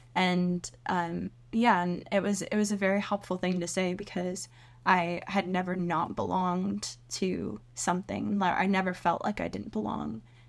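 In an unremarkable speaking voice, a woman with an American accent talks at a moderate pace and a medium pitch, with ordinary pitch variation, on a very clean recording with a silent background. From US Pacific Northwest, Seattle. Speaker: university student. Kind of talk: casual interview.

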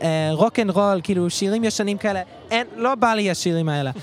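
With an English accent, a man speaks at a high pitch, his intonation lively. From Canada, Toronto. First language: English (speaking Hebrew). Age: 20s. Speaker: volunteer math teacher. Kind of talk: street interview. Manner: halting.

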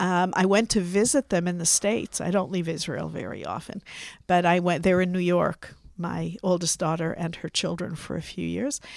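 This woman has a plain, everyday voice, pitched fairly low. She talks at a moderate pace. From Canada. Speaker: podcast guest, grandmother. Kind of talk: casual interview. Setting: studio.

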